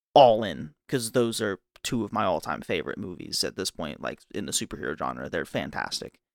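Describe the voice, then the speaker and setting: Vocal fry and very wide pitch swings at a fairly quick pace with hardly any pauses, in a very clean recording with a silent background and a dry, close sound with no echo. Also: man, very deep, low pitch for a man. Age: 20s. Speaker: podcast co-host. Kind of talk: casual chat.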